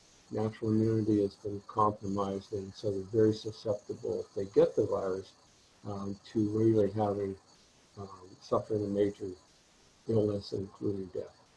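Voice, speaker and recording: A fairly low male voice with long, frequent pauses and big swings in loudness, over noticeable background noise. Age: 60s. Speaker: virologist and college instructor. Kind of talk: interview. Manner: halting, many fillers.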